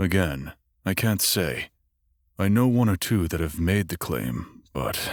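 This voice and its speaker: A man puts on a character voice with a very deep, low pitch. He speaks at a fairly slow pace. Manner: hesitant.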